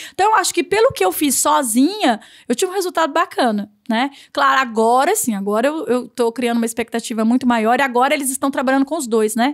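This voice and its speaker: Against a quiet background, a woman talks at a very fast pace and a high pitch with very wide pitch swings. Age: 40s. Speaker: novelist and lawyer; lawyer. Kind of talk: casual interview. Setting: studio. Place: studio. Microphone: studio mic.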